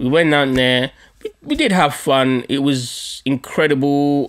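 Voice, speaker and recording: The speaker has an animated tone. The background is quiet. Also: man. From Nigerian heritage, London. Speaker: podcast host. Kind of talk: storytelling monologue. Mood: humorous, joking. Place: home room. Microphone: studio mic.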